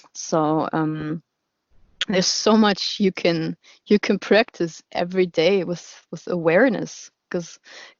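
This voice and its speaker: A woman speaks with a German accent at a fairly low pitch. Her pace is very slow, with ordinary pitch variation. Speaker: radio show host. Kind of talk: casual interview chat. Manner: halting, many repetitions and fillers.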